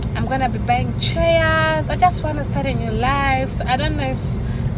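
A woman talks over background music, and the sound is dry with no echo. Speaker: vlogger. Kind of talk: casual vlog chat. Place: car. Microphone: phone near.

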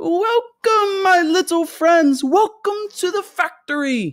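This is a put-on character voice with an extremely high pitch. The pace is fairly slow. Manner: welcoming, gleeful.

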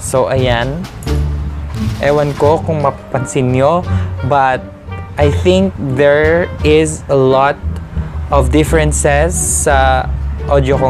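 A man with a very deep, low pitch speaks at a very slow pace, leaving long, frequent pauses. Clear music plays in the background. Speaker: vlogger. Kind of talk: casual unboxing vlog chat. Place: home room. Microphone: lapel.

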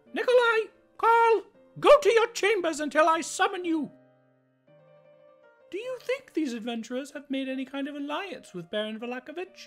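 Faint background music accompanies a woman with an extremely high pitch whose very wide pitch swings and big shifts in loudness come at a moderate pace with long, frequent pauses. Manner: imperious, exasperated, calculating.

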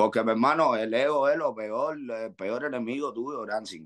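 A man with a Cuban accent speaks over a quiet background. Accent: Cuban Spanish dialect, swallows sounds. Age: 40s. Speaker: rapper; guest. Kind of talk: interview. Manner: animated. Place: home room. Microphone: video call.

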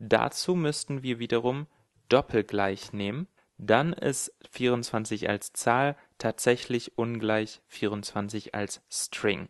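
In a dry, close recording with no echo and a quiet background, a man of medium pitch speaks at a very slow pace with ordinary pitch variation. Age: 20s. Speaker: programming tutorial creator. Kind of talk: tutorial.

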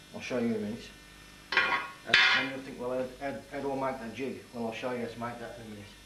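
A man speaks at a fairly quick pace with fairly even intonation. Light background noise and audible room echo are present. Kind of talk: tutorial. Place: workshop. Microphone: camera far.

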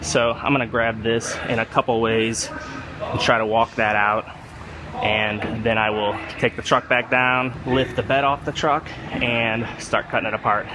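Noticeable background noise sits under this clip. A man talks at a fairly slow pace in a flat, monotone way. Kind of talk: casual tutorial commentary. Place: workshop. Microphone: phone near.

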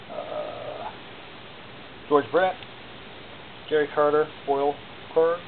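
Very slow pace over light background noise. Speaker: auction seller. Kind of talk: auction pitch showing items one by one. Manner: casual, conversational; rambling, with filler words and self-corrections. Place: home room. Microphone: phone near.

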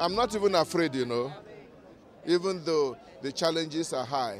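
Speaking with a Nigerian accent and lively intonation, a man goes at a moderate pace with long, frequent pauses, his sound dry with no echo against light background noise. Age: 60s. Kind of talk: interview answer. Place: street.

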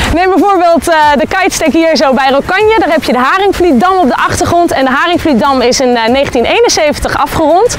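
A woman speaks at a moderate pace with lively intonation and an extremely high pitch. Noticeable background noise can be heard. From Zeeland, Netherlands. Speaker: professional kitesurfer. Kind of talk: presenting to camera.

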